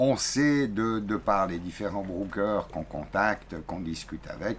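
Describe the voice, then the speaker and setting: A man with a fairly low pitch speaks at a fairly slow pace with ordinary pitch variation, over noticeable background noise. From Switzerland. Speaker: sailing vlogger. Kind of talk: casual chat.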